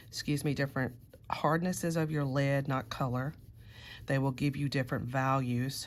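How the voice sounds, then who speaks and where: The recording is very clean, with a silent background. A woman speaks in a very deep, low voice with fairly even intonation. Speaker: art teacher. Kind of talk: tutorial.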